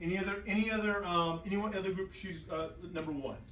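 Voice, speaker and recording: Fairly quick male speech amid noticeable background noise and audible room echo. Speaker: teacher. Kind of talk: classroom lesson. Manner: loud; animated.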